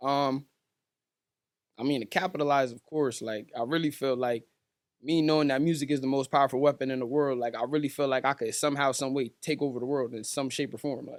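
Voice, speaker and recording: An unremarkable speaking voice from a man with an American accent, fairly high in pitch, at a fairly quick pace with fairly even intonation, in a very clean recording over a silent background. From Stratford, Connecticut. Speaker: rapper. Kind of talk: casual chat.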